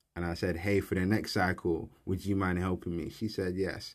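A man speaks in a London accent with a very deep, low pitch. The recording is very clean, with a silent background. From South East London, Peckham. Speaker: engineering student and entrepreneur. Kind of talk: casual interview.

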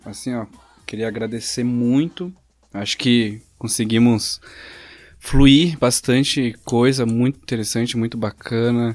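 On a very clean recording with a silent background, a man talks in a plain, everyday voice. His pitch is medium, his intonation fairly even and his pace fairly slow. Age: 20s. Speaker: podcast host. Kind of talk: casual chat.

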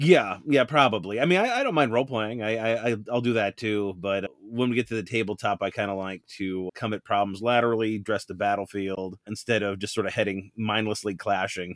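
This man has a plain, everyday voice with a fairly low pitch. He speaks at a fairly quick pace with fairly even intonation. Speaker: YouTube hobbyist creator. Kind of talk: casual chat.

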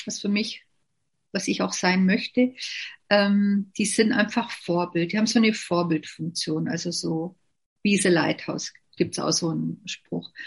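A somewhat breathy woman at a fairly slow pace, with ordinary pitch variation and a quiet background. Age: 50s. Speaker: network marketing distributor. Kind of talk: interview.

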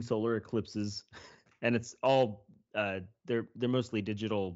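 In a normal speaking voice, the speaker talks at a moderate pace with fairly even intonation. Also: man. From Kansas, US Midwest. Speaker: podcast host. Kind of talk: casual chat, podcast interview. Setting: remote call.

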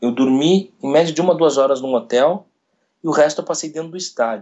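Ordinary pitch variation and a moderate pace in a man's a normal speaking voice. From Brazil, Rio Grande do Sul. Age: 20s. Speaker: sports radio commentator. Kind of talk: interview.

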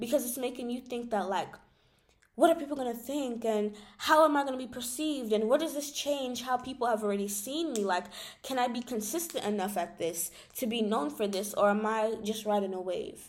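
This woman has an unremarkable speaking voice, fairly high in pitch, moving at a fairly quick pace with lively intonation. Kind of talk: casual monologue.

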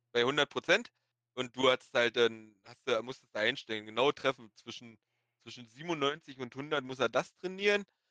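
The voice has a bright, sharp tone and ordinary pitch variation. It moves at a moderate pace, with big swings in loudness. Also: man, medium pitch for a man. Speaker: online game manager guest. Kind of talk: casual chat.

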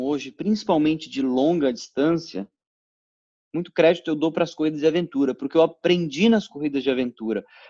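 A man with a dark, mellow tone and fairly high pitch speaks at a moderate pace with lively intonation, in a dry, close sound with no echo. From Brazil, interior of São Paulo state (Ribeirão Preto). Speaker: amateur cyclist and triathlete. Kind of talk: casual interview chat.

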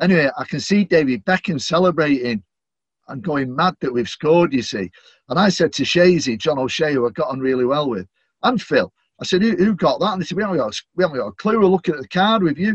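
Talking at a very fast pace, a man uses a fairly high voice with vocal fry and lively intonation. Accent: Manchester. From Manchester, England. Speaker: stadium announcer. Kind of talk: interview chat.

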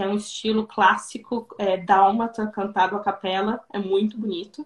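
The pace is very slow. A woman speaks with fairly even intonation. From southern Brazil, Rio Grande do Sul. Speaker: Brazilian expat in Croatia. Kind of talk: interview on live stream. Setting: live video stream. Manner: hesitant, many repetitions.

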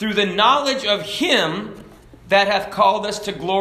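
An unforced reading voice, with pitch that varies in an ordinary way

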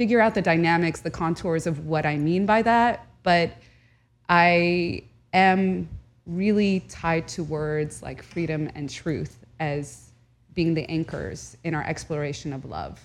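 Recorded very cleanly against a silent background, the voice moves at a fairly slow pace with ordinary pitch variation. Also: woman. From Southern California. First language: Arabic. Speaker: historian and journalist. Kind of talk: casual interview conversation. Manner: animated, emotional.

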